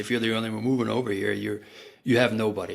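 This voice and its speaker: This man has a fairly low pitch and a slight German accent. His intonation is monotone and flat. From Germany. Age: 40s. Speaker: marketing professional. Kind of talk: podcast interview.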